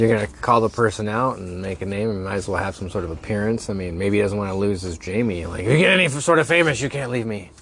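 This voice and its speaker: Noticeable background noise sits under a very fast delivery with lively intonation and hardly any pauses. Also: man, fairly low pitch for a man. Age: 30s. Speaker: podcast co-host. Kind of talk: casual chat.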